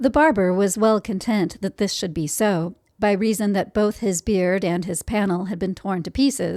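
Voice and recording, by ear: A passage read aloud in a natural voice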